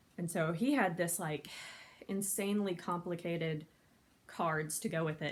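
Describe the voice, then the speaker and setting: A woman speaks with a fairly low voice and ordinary pitch variation. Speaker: convention panel host. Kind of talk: casual talk to camera. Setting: home, no microphone, quiet recording. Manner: fast.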